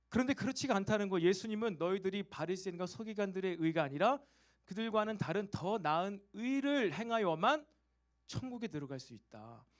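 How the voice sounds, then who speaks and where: The delivery has lively intonation. The pace is fairly quick. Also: man. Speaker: pastor. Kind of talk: sermon. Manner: fast.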